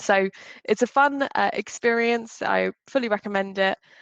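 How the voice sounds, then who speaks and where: In a strong British accent, a woman speaks with ordinary pitch variation in a dry, close sound with no echo. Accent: British English, still strong. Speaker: customer success executive, speaker. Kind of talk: short talk.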